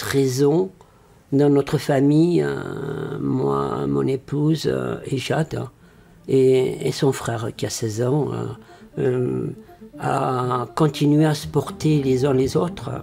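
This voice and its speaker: Very slow speech from a man amid clearly audible background noise. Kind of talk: interview. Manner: halting.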